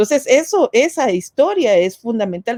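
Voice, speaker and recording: A woman speaks in a high voice with a dark, mellow tone. The sound is dry and close, with no echo. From Guatemala. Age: 60s. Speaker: feminist activist and former politician. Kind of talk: webinar panel talk.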